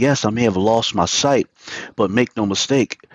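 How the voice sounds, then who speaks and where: A man's medium-pitched voice with an American accent, an ordinary speaking voice at a moderate pace, with ordinary pitch variation and a dry, close sound with no echo. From Virginia, US. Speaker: motivational speaker and musician. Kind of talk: interview.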